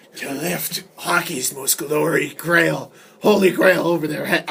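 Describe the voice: The speaker uses a put-on character voice with a raspy edge. It sits at a middle pitch and moves at a fairly slow pace.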